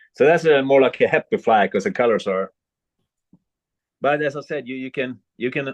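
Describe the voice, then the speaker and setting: A man with a Swedish accent. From Sweden. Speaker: fly tyer and fishing guide. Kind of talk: tutorial. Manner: halting.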